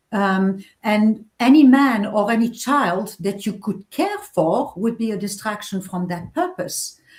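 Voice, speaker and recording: A woman speaks with a fairly high pitch and a somewhat breathy sound. She goes at a fairly slow pace with hardly any pauses. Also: ordinary pitch variation. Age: 60s. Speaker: novelist. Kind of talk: interview.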